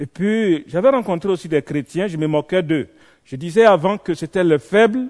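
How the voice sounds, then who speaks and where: The speaker has lively intonation and a moderate pace. The sound is dry and close with no echo, against a quiet background. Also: man. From Côte d'Ivoire. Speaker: visiting preacher. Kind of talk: sermon with personal testimony. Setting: church evening vigil. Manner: animated.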